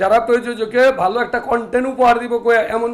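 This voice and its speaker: A man's voice at an extremely high pitch. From Bangladesh, urban. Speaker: film producer. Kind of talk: media interview. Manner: animated.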